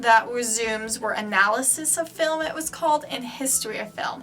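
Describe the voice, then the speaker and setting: A woman speaks at a fairly high pitch. Audible room echo hangs on her voice. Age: young. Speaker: vlogger, film student. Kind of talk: casual vlog. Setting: in a bathroom. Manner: loud; casual, filler-heavy.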